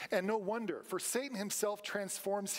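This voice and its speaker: His pitch high, a man speaks with ordinary pitch variation. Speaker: preacher. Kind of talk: sermon. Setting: church. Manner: rhetorical, engaging questions to congregation, call-and-response; earnest, emphatic, direct appeals. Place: church. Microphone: podium.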